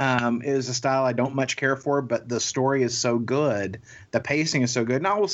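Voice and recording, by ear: With fairly even intonation, the speaker reads aloud in a natural voice.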